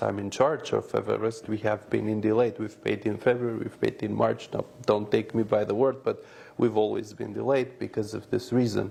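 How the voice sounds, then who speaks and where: Moderate-paced speech from a man with an Albanian accent, with hardly any pauses. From North Macedonia, Albanian community. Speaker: businessman. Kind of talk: interview. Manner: hesitant, with filler sounds.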